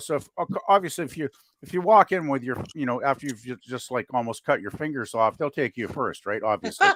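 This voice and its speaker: A man with a Canadian accent in an ordinary speaking voice, fairly high in pitch for a man, at a fairly quick pace, with a dry, close sound with no echo on a very clean recording over a silent background. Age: 60s. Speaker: panel regular on live stream. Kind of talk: casual chat.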